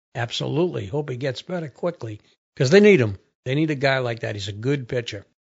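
Speaking at a very fast pace, a man with a medium pitch sounds somewhat breathy and uses lively intonation. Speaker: podcast host. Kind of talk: casual chat.

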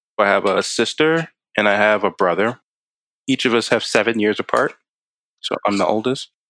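Over a dry, close sound with no echo, a man with an American accent speaks at a moderate pace with long, frequent pauses, a fairly low pitch, ordinary pitch variation, a bright, sharp tone and very even loudness. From Maryland, Baltimore County. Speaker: software engineer. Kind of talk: interview.

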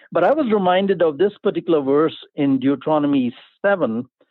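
This man speaks with an Indian accent, his high-pitched voice swinging very widely up and down. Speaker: pastor, life coach and artist. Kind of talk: interview. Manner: enthusiastic.

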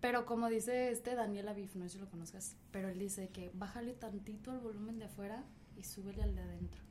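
Amid noticeable background noise and audible room echo, a woman talks at a very fast pace. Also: medium pitch for a woman. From Mexico. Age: young. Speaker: podcast host. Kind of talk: casual chat. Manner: animated.

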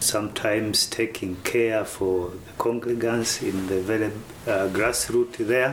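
There is audible room echo as a man speaks at a fairly slow pace. His voice sits at a medium pitch with fairly even intonation. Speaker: pastor. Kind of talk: interview monologue.

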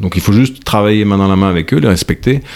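Noticeable background noise sits behind a man talking at a very fast pace. His pitch is very deep and low, with ordinary variation. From France. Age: 40s. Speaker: agricultural project founder, former investment director. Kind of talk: interview. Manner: halting, frequent repetitions.

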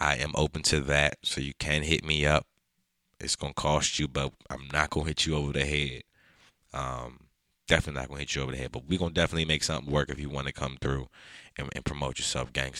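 A man's very deep, low voice with an American accent, bright and sharp in tone, with vocal fry, a monotone, flat intonation and a very fast pace, in a dry, close sound with no echo. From Prince George's County, Maryland (DC area). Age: 20s. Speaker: podcast host and photographer. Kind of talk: casual solo monologue. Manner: hesitant, many fillers and repetitions.

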